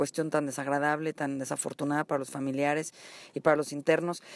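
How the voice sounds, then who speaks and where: A woman at a fairly quick pace, in a very clean recording with a silent background and a dry, close sound with no echo. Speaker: TV interview show host. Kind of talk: show opening monologue; interview.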